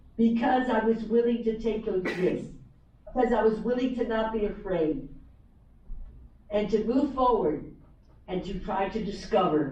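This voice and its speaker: Amid audible room echo, a woman talks at a moderate pace with ordinary pitch variation and long, frequent pauses. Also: fairly high pitch for a woman. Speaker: author and former teacher. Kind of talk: motivational talk. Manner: repetitive, halting in places.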